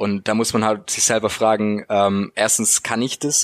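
The intonation is monotone and flat, at a moderate pace. The sound is dry and close, with no echo. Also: man. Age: 20s. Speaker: university student, student podcaster. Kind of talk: casual interview.

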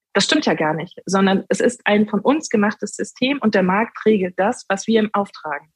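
A woman speaks with hardly any pauses in a somewhat breathy voice, recorded with a dry, close sound with no echo. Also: medium pitch for a woman, ordinary pitch variation, moderate pace. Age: 30s. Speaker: sustainable finance executive and political candidate. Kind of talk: interview.

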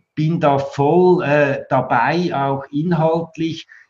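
The speaker is a man with a somewhat breathy voice. His intonation stays fairly even. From Switzerland. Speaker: architect and building exhibition director. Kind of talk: interview.

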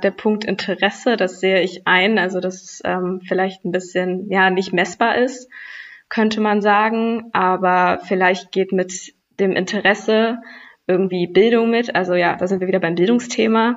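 A woman uses an ordinary speaking voice at a medium pitch. Her pace is fairly slow and her intonation fairly even. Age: young. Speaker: youth environmental activist. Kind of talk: podcast debate.

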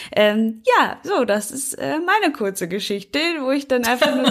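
Over noticeable background noise, a woman speaks at a moderate pace. Her pitch is high, with very wide pitch swings. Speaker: lawyer, podcast co-host. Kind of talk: casual chat. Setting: video call.

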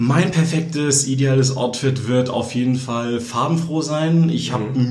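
Amid noticeable background noise and audible room echo, a man talks at a moderate pace with medium pitch and ordinary pitch variation. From northern Germany, Kiel. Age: 20s. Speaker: fashion blogger. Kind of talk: interview. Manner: hesitant, many filler sounds.

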